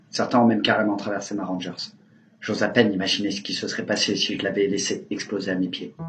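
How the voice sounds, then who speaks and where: A man's fairly low, monotone, flat voice at a very fast pace, with music in the background. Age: 20s. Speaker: injured protester. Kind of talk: testimony.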